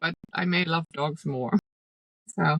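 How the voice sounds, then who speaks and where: Her voice sits fairly low for a woman and carries vocal fry. She talks at a fairly slow pace, and the sound is dry and close with no echo. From Germany. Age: 40s. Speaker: dog rescue volunteer and horse trainer. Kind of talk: interview.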